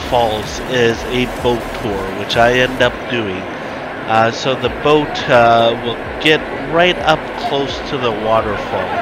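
Loud background noise accompanies a man speaking at a very slow pace with ordinary pitch variation, in a dry sound with no echo. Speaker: travel vlogger. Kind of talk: casual vlog narration. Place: open country. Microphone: phone near.

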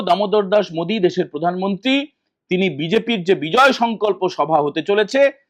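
High pitch for a man, with pitch that varies in an ordinary way. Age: 40s. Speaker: political commentator. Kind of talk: political news commentary to camera. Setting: hotel room.

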